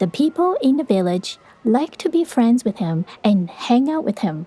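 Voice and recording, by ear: A woman's fairly high voice has a dark, mellow tone with a slightly husky edge, big pitch swings and a moderate pace.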